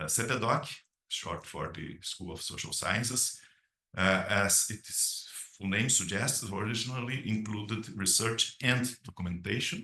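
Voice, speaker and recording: With a Brazilian Portuguese accent, a man speaks at a medium pitch in a bright, sharp tone, with audible room echo. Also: ordinary pitch variation, fairly slow pace. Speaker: academic dean. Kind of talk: conference presentation read aloud. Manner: hesitant, many filler sounds.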